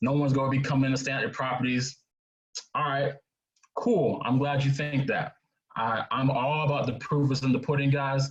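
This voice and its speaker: Here a man has an unremarkable speaking voice, fairly high in pitch, with fairly even intonation and a moderate pace. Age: 20s. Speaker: real estate investor and speaker. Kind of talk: webinar presentation.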